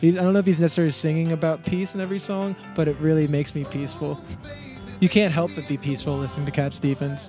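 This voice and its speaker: Soft-spoken and very fast, a man talks with a fairly high pitch and ordinary pitch variation while music plays in the background. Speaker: musician. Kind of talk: interview answer. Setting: outdoors.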